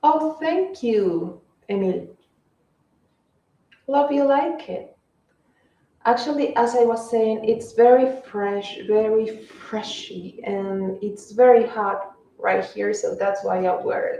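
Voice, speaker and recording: With a Spanish accent, a woman talks at a very slow pace and a fairly high pitch, her intonation lively and her speech marked by long, frequent pauses. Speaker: fashion livestreamer. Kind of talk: casual live stream chat.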